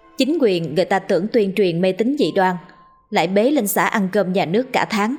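The text comes in an unforced reading voice.

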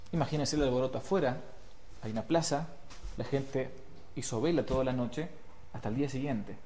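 Someone is reading. It is plain reading aloud.

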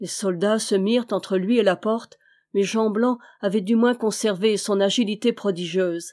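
Someone reads in a natural voice, keeping the intonation fairly even.

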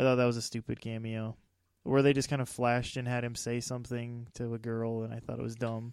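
Speaking at a fairly quick pace, a man keeps a monotone, flat intonation. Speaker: movie podcast host. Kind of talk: casual movie review chat.

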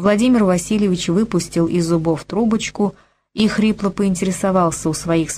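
Someone does plain reading aloud while the background stays quiet.

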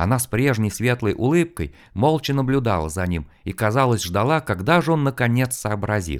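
Plain reading aloud comes with lively intonation.

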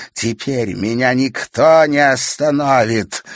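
Put-on character voice from a man at medium pitch, fairly slow pace, with hissing. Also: dry, close sound with no echo. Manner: hissing, menacing.

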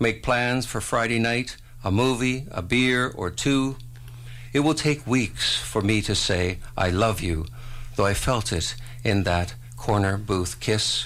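Audible room echo surrounds a man's medium-pitched voice. He speaks at a very slow pace with ordinary pitch variation. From Ontario, Canada (Port Dalhousie). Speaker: poet. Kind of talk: poetry reading. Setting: radio studio.

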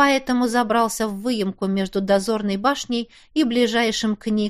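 The speaker uses an unforced reading voice. The text is read aloud.

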